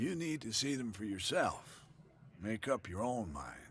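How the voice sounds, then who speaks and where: A man puts on a raspy character voice at a medium pitch. He goes at a fairly slow pace over clear background noise. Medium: video game. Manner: cryptic, evasive.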